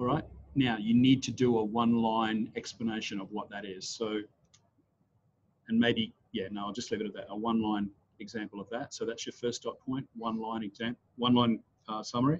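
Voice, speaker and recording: This man has an Australian accent and a medium pitch. He talks at a fairly quick pace with monotone, flat intonation. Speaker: trainer. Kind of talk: online class. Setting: video call. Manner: fast.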